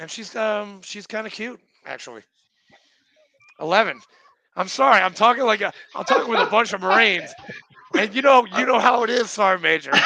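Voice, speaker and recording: Using a raised, projected voice with a high pitch, a man speaks at a fairly quick pace broken by long, frequent pauses. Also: ordinary pitch variation. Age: 40s. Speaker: podcast host, Marine veteran. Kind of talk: casual chat. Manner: animated.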